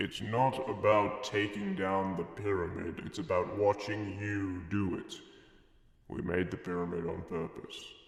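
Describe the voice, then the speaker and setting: A man's put-on character voice, fairly low in pitch, at a moderate pace with clear echo. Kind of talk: mock-solemn divine pronouncement. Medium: machinima.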